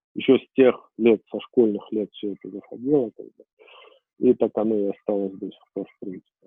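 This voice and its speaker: At a moderate pace and fairly low pitch, a man speaks in a plain, everyday voice with fairly even intonation and big swings in loudness. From Armenia. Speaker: IT company founder, programmer. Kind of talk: interview.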